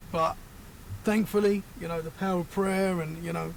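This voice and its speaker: Speaking fairly quickly with a British accent, a man uses a high pitch and ordinary pitch variation. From Britain. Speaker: paranormal podcaster. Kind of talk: casual chat.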